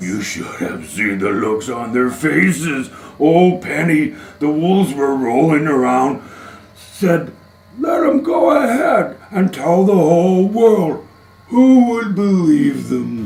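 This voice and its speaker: A man speaks at a fairly slow pace in a put-on character voice pitched fairly high, with audible echo around him. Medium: audio drama. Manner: easygoing, joking.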